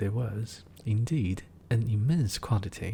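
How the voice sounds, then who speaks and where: Somewhat breathy and dark, mellow in tone, a man with a Chinese accent speaks fairly slowly at a medium pitch with ordinary pitch variation. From China. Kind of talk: fairy tale reading.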